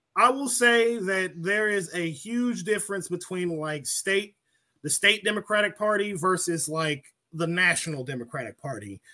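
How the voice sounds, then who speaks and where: In an American accent, a man speaks at a moderate pace in a raised, projected voice, high in pitch, with a bright, sharp tone and lively intonation. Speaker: political commentator. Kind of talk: casual chat. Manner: profane, blunt.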